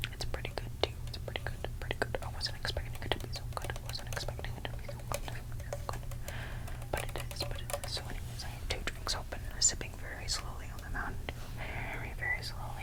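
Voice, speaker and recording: The speaker whispers at a very fast pace. Noticeable background noise runs underneath. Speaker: ASMR creator. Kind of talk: ASMR whisper ramble to camera. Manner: whispered, repetitive, rambling.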